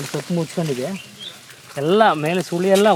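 With noticeable background noise behind him, a man talks in a fairly high pitch with ordinary pitch variation. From Karnataka, Tumakuru district (Madhugiri taluk). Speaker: farm worker. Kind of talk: farm tour explanation.

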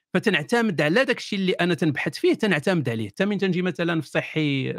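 A man with a high pitch and lively intonation speaks at a fairly quick pace with hardly any pauses, on a very clean recording with a silent background. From Morocco, Kenitra. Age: 40s. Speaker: atheist YouTuber. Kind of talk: interview.

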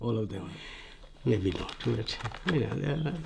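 A man's dark, mellow voice at a medium pitch, with vocal fry, lively intonation and a very slow pace. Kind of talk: documentary interview answer.

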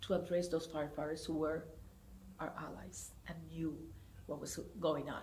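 A woman speaks in a fairly low, somewhat breathy voice with a Spanish accent. Light background noise is present. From Puerto Rico, Comerío; Puerto Rico. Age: 70s. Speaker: theater director. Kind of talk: oral history interview. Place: hall.

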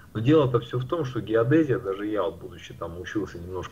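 His voice is a normal speaking voice, pitched in the medium range. The man keeps a moderate pace. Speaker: round earth debater. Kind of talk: heated debate.

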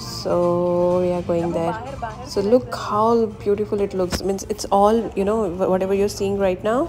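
The pitch varies in an ordinary way. Faint music plays in the background. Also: woman. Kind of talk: casual vlog chat. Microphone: phone near.

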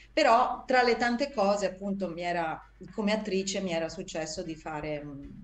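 Over music in the background and audible room echo, a woman talks at a moderate pace and medium pitch with lively intonation and big swings in loudness. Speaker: actress and voice actress. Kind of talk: interview answer. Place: home room. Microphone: video call.

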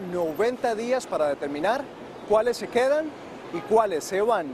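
Speaking at a fairly slow pace, a man with a high pitch and lively intonation is heard over noticeable background noise in a dry sound with no echo. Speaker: news reporter. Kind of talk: news reading. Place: street.

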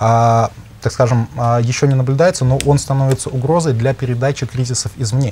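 A man talks at a middling speed, his mid-range voice somewhat breathy. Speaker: economic researcher. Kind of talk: expert discussion. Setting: studio. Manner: halting.

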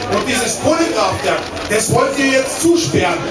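Against music in the background and audible room echo, a man speaks at a moderate pace with ordinary pitch variation. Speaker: politician on panel. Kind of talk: public panel answer. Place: stage.

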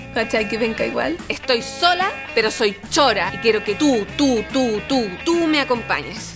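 Over clear background music, a woman with a Chilean accent talks at a fairly slow pace with hardly any pauses. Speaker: actress. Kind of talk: TV drama monologue. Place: home room.

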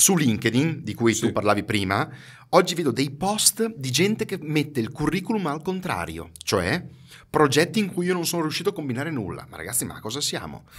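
Vocal fry, a fairly quick pace and very wide swings in pitch. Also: man, fairly high pitch for a man. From Ferrara, Emilia-Romagna, northern Italy; Emilia-Romagna, Italy. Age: 50s. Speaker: marketing expert and trainer; podcast guest, marketing trainer. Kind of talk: casual interview chat. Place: studio. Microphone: studio mic.

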